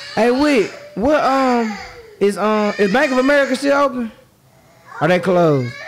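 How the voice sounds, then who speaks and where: Over noticeable background noise, a man with an extremely high pitch speaks at a moderate pace and very even loudness, taking long, frequent pauses. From Memphis, Tennessee; Tennessee. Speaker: podcast host. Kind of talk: casual interview. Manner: laughing often. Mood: joking, playful. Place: studio. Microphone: studio mic.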